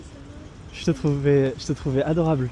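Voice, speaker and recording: Noticeable background noise accompanies a man who speaks at a very slow pace. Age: 20s. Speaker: dating coach. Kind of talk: vlog commentary. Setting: outdoors, street.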